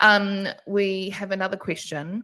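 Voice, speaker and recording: A woman's bright, sharp voice in a New Zealand accent. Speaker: webinar moderator, events manager. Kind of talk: live Q&A webinar.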